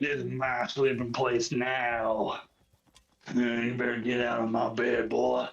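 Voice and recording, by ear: A raspy, put-on character voice in a Southern US accent at a fairly slow pace. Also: man, medium pitch for a man. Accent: southern drawl.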